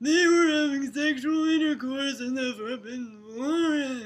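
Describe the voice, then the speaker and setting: The speaker uses a put-on character voice with a high pitch. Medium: read story. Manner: shouting, angry.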